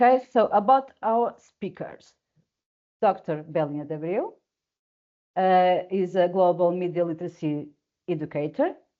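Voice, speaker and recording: Speaking with a Portuguese accent, a woman with a medium pitch and lively intonation moves at a moderate pace with long, frequent pauses. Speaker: webinar moderator. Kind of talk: webinar introduction. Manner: halting.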